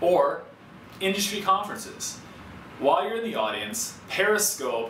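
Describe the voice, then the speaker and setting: The pace is moderate. Audible room echo and light background noise are present. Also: man. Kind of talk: scripted explainer to camera. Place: studio.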